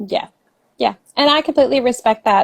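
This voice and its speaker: A woman speaks with an American accent at a fairly quick pace. Her pitch variation is ordinary. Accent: cute. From Southern West Virginia. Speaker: author. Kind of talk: interview. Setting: podcast.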